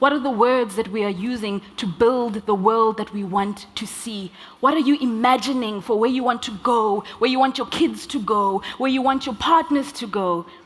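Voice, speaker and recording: There is noticeable background noise as a woman talks at a fairly high pitch. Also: ordinary pitch variation, moderate pace. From South Africa. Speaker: slam poet and speaker. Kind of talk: conference talk with poetry.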